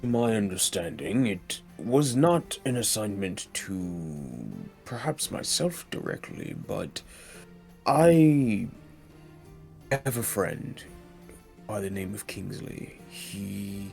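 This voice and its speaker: A man's put-on character voice at a fairly low pitch with very wide pitch swings, a very slow pace and long, frequent pauses, with clear music in the background. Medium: actual play. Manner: formal, measured.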